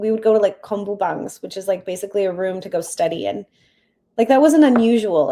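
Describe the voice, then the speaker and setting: A woman with a Canadian accent talks fairly quickly in an ordinary speaking voice, her pitch fairly high and her intonation lively. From Canada, with time in Poland and South Korea. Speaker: app founder. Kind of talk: interview.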